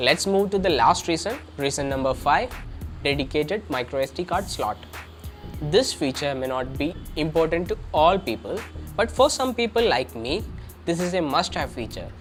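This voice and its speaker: Music plays in the background. The speech has long, frequent pauses. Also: man, fairly high pitch for a man, moderate pace. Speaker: tech reviewer. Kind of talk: tech review talk to camera.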